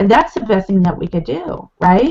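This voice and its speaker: A woman's somewhat breathy voice with an American accent. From California. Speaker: network marketing leader. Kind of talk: interview.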